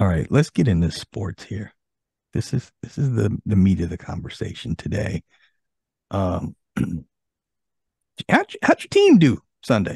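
With lively intonation and big swings in loudness, a man with a fairly low, somewhat breathy voice speaks at a fairly slow pace, leaving long, frequent pauses, in a dry room with no echo and a quiet background. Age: 50s. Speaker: podcast host. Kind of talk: casual chat. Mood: jovial, relaxed. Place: home room. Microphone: studio mic.

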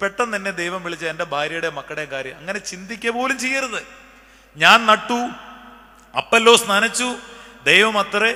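In a raised, projected voice, a man with a high pitch speaks with lively intonation and big swings in loudness. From Kerala, India. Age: 40s. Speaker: priest. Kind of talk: sermon. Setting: church. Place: church. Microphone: podium.

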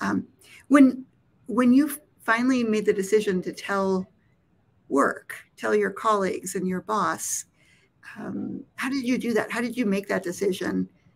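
A woman speaks at a fairly slow pace with long, frequent pauses and some vocal fry. Her pitch is medium for a woman, with ordinary variation. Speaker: nonprofit executive director, interviewer. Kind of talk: interview conversation. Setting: live stream video call. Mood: warm, smiling. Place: home room.

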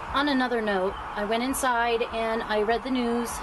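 Against noticeable background noise, a woman speaks at a moderate pace with fairly even intonation. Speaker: vlogger. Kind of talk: casual vlog chat. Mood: sombre during the news part. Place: street.

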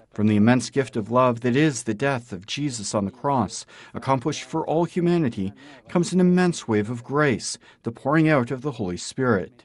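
Against a quiet background, a man with a plain, everyday voice talks at a fairly quick pace and a medium pitch. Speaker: news narrator. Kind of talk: news reading. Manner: formal.

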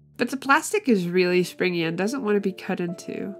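Music plays behind a woman with a medium-pitched voice. She talks at a fairly quick pace with lively intonation. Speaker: doll customizer. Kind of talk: tutorial. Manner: spaced out.

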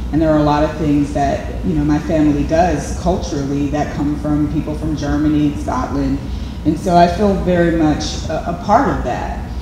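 There is noticeable background noise and audible room echo. A woman talks at a moderate pace. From Braddock, Pennsylvania. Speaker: artist and photographer. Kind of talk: artist interview. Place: hall.

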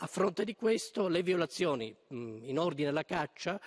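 Speech comes at a fairly slow pace. The background is quiet. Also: man. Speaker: member of parliament. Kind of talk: parliamentary oratory, formal question. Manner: hesitant, many filler sounds. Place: hall. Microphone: podium.

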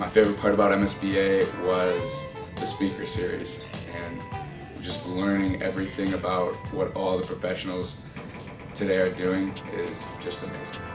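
Clear music in the background behind a male speaker at a moderate pace. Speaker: marketing graduate, intern. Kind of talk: interview answer. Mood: friendly, enthusiastic. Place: office. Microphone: camera far.

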